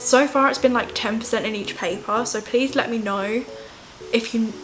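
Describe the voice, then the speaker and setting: A woman's fairly high voice in a southern English accent at a moderate pace, with music in the background. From England. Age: young. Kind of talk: casual vlog talk to camera.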